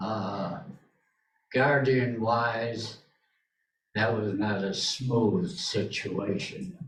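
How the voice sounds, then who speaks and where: Audible room echo surrounds a man speaking at a very slow pace and medium pitch, with ordinary pitch variation. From England. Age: 80s+. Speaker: audience member, wartime evacuee. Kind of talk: testimony. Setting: library talk with audience. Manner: halting.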